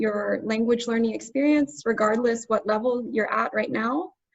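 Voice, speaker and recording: A woman talks at a moderate pace with an American accent. Her pitch is fairly high. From United States. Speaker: language tutor. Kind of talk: webinar.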